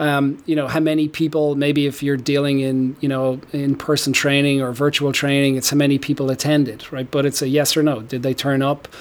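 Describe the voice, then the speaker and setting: With an Irish accent, the speaker talks at a fairly quick pace with hardly any pauses and a monotone, flat intonation. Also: man, fairly high pitch for a man. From Ireland. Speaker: tech company founder and CEO. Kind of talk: interview.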